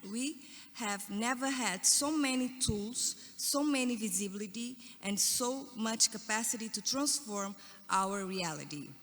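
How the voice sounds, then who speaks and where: In a Portuguese accent, a woman with a fairly high pitch talks at a fairly slow pace, her pitch varying in an ordinary way. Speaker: panelist. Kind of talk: panel talk. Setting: conference stage with audience.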